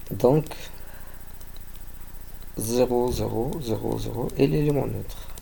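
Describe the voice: The speech moves at a slow pace with ordinary pitch variation. Vocal fry runs through the voice. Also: man, medium pitch for a man.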